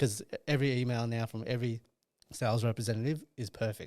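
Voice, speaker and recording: Speaking fairly quickly, a man with an Australian accent keeps a medium pitch. His tone is dark and mellow, his intonation monotone and flat. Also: very clean recording, silent background. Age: 30s. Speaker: sales and partnerships manager. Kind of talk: podcast interview.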